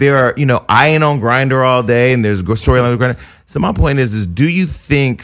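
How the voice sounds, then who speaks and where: Here a man talks with a normal speaking voice at a fairly quick pace. His pitch varies in an ordinary way. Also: medium pitch for a man. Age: 40s. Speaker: podcast host. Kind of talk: casual chat. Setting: studio.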